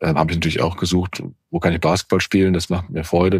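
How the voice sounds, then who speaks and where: Very fast and with fairly even intonation, a man speaks in a very deep, low voice. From Germany, Cologne area. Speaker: podcast host, senior leader. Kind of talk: casual chat.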